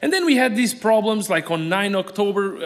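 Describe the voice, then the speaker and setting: A man in a Portuguese accent, with ordinary pitch variation and noticeable background noise. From Portugal. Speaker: aquarium animal supplier. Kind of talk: conference talk. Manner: fast.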